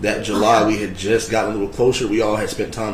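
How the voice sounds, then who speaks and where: Over noticeable background noise and audible room echo, a man with a fairly low pitch talks at a very fast pace. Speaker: trial witness. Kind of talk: testimony.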